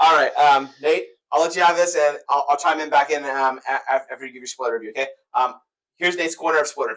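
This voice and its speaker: At a very fast pace, a man with a fairly high pitch speaks with ordinary pitch variation and big swings in loudness. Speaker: movie review youtuber. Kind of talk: casual movie review chat. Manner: halting, repeating words.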